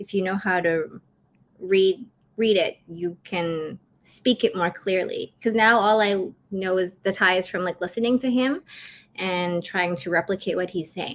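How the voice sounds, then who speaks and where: Speaking at a fairly slow pace, a woman of medium pitch shows ordinary pitch variation in a very clean recording with a silent background. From Vancouver, Canada. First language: Cantonese. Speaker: travel vlogger. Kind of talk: casual interview chat. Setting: live stream interview.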